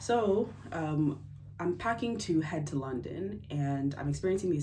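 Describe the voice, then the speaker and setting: With an American accent, a woman talks at a moderate pace in a very deep, low pitch, her somewhat breathy voice dark and mellow in tone, with audible room echo. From United States. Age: 20s. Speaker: engineer sharing health story. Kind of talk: personal testimony vlog. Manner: casual, hesitant with fillers.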